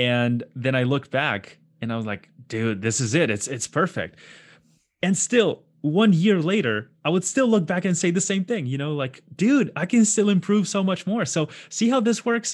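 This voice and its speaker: Very wide pitch swings at a moderate pace over a quiet background. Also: man, high pitch for a man. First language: not English. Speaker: concept artist. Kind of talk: casual chat. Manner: animated.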